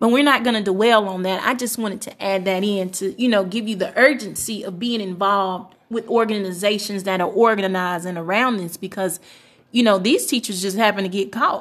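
A normal speaking voice with an American accent, fairly quick and fairly even in intonation, on a very clean recording with a silent background. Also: woman, medium pitch for a woman. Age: 20s. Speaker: pastor's wife and community activist. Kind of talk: casual chat.

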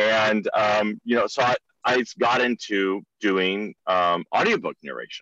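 In a bright, sharp tone, a man with an American accent speaks at a fairly slow pace with fairly even intonation, the sound dry and close with no echo over a quiet background. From California. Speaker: artist, audiobook narrator and podcaster. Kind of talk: interview conversation. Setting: remote call. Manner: hesitant, many fillers.

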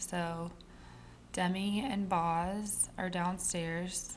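A woman speaks in a somewhat breathy, fairly low-pitched voice with monotone, flat intonation. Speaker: podcast host. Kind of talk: casual solo monologue. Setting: home. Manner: chatty.

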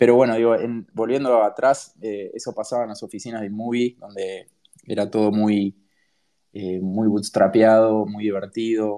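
A medium-pitched man speaks at a fairly slow pace with monotone, flat intonation. His loudness swings widely. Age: 30s. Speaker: startup co-founder. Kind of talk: interview. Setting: home office, online audio space.

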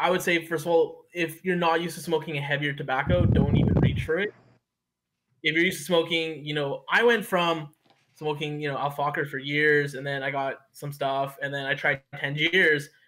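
Fairly even intonation and a moderate pace mark a plain, everyday voice. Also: man, fairly high pitch for a man. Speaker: forum moderator.

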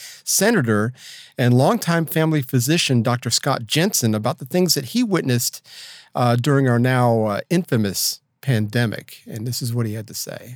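A man with a medium-pitched voice talks at a fairly quick pace with ordinary pitch variation, recorded very cleanly against a silent background. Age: 60s. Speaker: podcast co-host. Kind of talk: casual chat. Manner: fast.

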